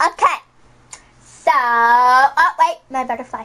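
In a cartoonish character voice, a female-sounding voice speaks at a fairly slow pace and a high pitch. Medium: puppet show. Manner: whiny, dramatic.

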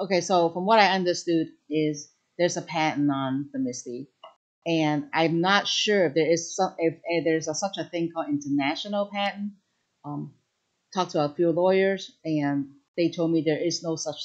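Here is a woman with a plain, everyday voice, pitched fairly low, with ordinary pitch variation. She speaks at a moderate pace against a quiet background. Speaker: craft demonstrator on a livestream. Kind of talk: livestream Q&A answer. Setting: live online stream. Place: shop.

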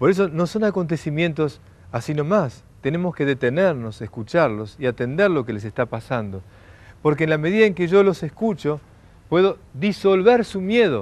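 A man's voice with very wide pitch swings, in a dry sound with no echo. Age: 40s. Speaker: lecturer. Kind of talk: lecture. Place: garden. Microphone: lapel.

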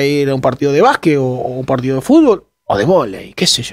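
A fairly high-pitched man at a very fast pace, with ordinary pitch variation and a quiet background. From Argentina, La Pampa (General Pico); La Pampa, Argentina. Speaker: journalist. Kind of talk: interview. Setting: studio. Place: studio. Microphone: headset.

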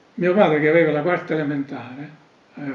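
Room echo is audible. Pitch variation is ordinary. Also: man. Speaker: elder recounting memories. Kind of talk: oral history interview answer. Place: home room.

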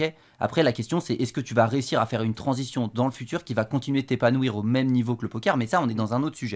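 A man rattles along very fast, his pitch varying in an ordinary way, against a quiet background. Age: 20s. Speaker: professional poker player; guest. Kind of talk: casual chat. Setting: studio. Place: studio. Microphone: studio mic.

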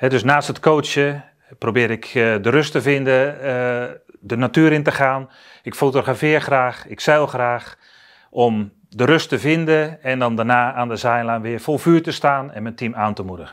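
A man talks at a fairly slow pace in a medium pitch, an ordinary speaking voice. His pitch varies in an ordinary way against a quiet background. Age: 50s. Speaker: basketball coach; basketball head coach. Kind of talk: introductory interview statement. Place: studio. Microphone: lapel.

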